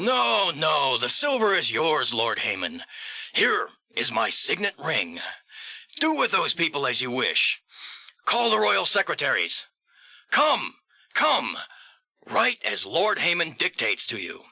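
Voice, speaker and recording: Putting on a character voice, a man speaks at a high pitch and a fairly slow pace, with long, frequent pauses. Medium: audio drama.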